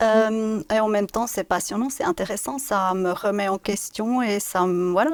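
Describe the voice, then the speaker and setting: A dry, close sound with no echo carries a voice in a slight Swiss German accent. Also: woman. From Switzerland, Biel/Bienne (German-speaking). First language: Swiss German (speaking French). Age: 50s. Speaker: business director. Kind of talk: interview. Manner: halting.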